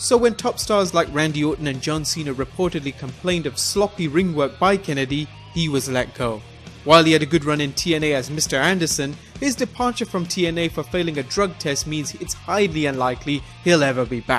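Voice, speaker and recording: A man speaks with a fairly high pitch. Music plays in the background. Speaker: wrestling history narrator. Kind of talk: list video narration.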